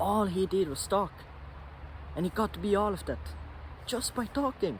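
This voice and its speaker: Delivery moves at a moderate pace. A non-native accent is heard. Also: man. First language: not English. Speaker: vlogger. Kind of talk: casual monologue vlog. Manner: halting, self-correcting.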